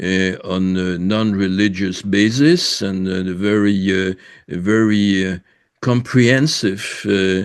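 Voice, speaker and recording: A man with a French accent speaks very slowly in a fairly low voice, his intonation fairly even over a quiet background. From France. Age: 80s+. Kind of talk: interview, personal background. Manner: halting, many fillers.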